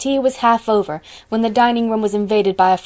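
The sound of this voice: The voice reads aloud in an unforced way.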